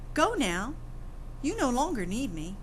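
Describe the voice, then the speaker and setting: Over clear background noise, a woman does a put-on character voice at a high pitch and a moderate pace. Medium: read story.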